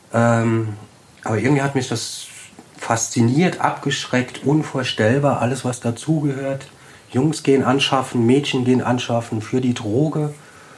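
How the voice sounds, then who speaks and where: Amid noticeable background noise and audible room echo, a man with a medium pitch speaks fairly slowly in a fairly even intonation. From German village near French border. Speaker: street worker. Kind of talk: casual interview. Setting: old factory hall.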